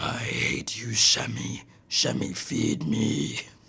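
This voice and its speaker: In a put-on character voice, a man speaks raspily at a very slow pace, his very deep, low pitch swinging very widely. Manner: screaming, demanding.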